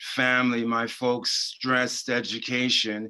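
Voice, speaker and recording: With an American accent, a man speaks at medium pitch in a bright, sharp tone. His intonation is monotone and flat, and his pace is fairly slow. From Washington, D.C. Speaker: board candidate. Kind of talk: candidate introduction in a webinar. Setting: webinar.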